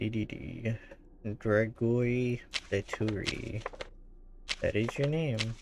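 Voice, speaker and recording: A man speaks at a very slow pace, with long, frequent pauses and a medium pitch. His pitch varies in an ordinary way, and there is noticeable background noise. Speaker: gaming streamer. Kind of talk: live gameplay commentary.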